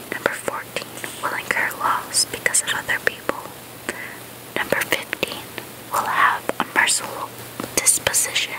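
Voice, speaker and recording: A woman whispers at a moderate pace, leaving long, frequent pauses. Noticeable background noise can be heard. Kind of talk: ASMR book reading. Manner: soft-spoken, casual.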